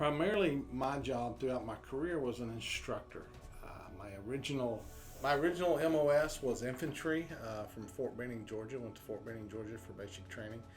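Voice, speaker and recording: A man of medium pitch at a fairly quick pace, with big swings in loudness, music in the background and audible room echo. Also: lively intonation. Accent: American. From southeast Oklahoma, US. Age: 50s. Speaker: army veteran. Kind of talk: interview testimony.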